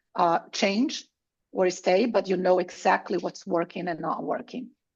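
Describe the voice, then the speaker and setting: A woman's medium-pitched voice, with ordinary pitch variation, proceeds at a fairly slow pace. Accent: Brazilian. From Brazil. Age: 50s. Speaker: tech sales executive. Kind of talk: conference talk.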